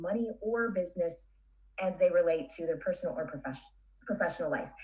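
A woman's dark, mellow, somewhat breathy voice at a very fast pace over a quiet background. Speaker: podcast host, business coach, interview guest. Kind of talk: interview answer. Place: home room. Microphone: studio mic.

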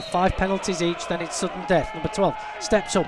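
Over noticeable background noise, a man with a high pitch speaks in an animated tone. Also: dry sound with no echo. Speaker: football match commentator. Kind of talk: live football commentary. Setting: media booth at stadium. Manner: animated, fast play-by-play; builds excitement at shootout. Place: stadium.

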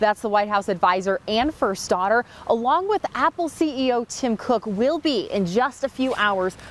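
A woman's lively, fairly slow delivery in a dry recording with no echo. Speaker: TV news reporter. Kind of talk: live news report. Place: street.

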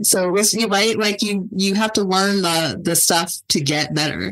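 A woman with an American accent. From California (Ridgecrest). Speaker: television writer and producer. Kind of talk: casual chat.

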